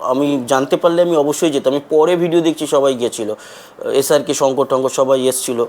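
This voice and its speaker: A man speaks with a fairly high pitch and fairly even intonation. His loudness stays very even. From West Bengal, India. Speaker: travel vlogger. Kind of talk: personal vlog monologue.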